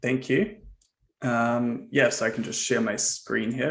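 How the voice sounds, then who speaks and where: A man with a New Zealand accent, at a very slow pace. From New Zealand, Auckland. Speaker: software founder. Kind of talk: presentation.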